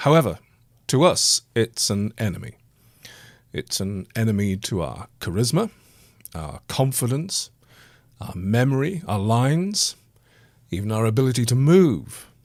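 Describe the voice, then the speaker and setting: A man speaks at a fairly slow pace with an English accent, his medium pitch rising and falling in very wide swings. Long, frequent pauses break up his speech on a very clean recording with a silent background. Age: 60s. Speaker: actor and podcast host. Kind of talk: personal monologue podcast.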